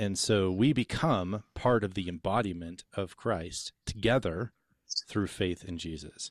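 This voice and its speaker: A man with an unremarkable speaking voice talks fairly slowly and fairly low, with ordinary pitch variation. The recording is very clean, with a silent background and a dry, close sound with no echo. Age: 40s. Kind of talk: theological discussion.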